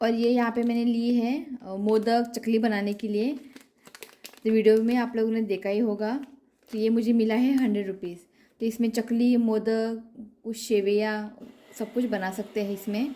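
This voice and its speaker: Monotone, flat intonation marks a woman's fairly high-pitched voice. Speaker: vlogger. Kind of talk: casual vlog, shopping haul. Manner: halting, with hesitations.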